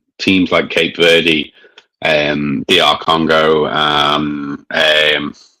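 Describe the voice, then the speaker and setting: This man has a Scouse accent. His pitch is very deep and low. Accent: mild Scouse. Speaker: beer reviewer. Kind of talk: casual chat.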